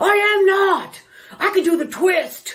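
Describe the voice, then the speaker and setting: Putting on a character voice at an extremely high pitch, a woman speaks at a fairly slow pace. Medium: comedy sketch. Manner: flat, grudging.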